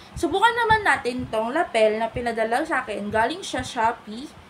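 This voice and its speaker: A woman speaks at a high pitch in an animated tone, with lively intonation and big swings in loudness. Noticeable background noise runs underneath. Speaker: content creator and affiliate reviewer. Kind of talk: product review.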